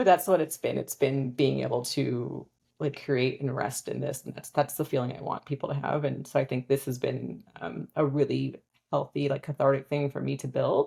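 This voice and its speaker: The speaker is a woman with a Californian accent. She talks at a moderate pace. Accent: Californian American English. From US, Southern California. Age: 40s. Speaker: financial advisor and business founder. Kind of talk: casual interview chat.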